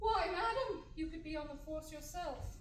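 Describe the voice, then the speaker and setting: A woman puts on a squeaky character voice at a moderate pace. A slight echo is audible. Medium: stage play. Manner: dry, formal.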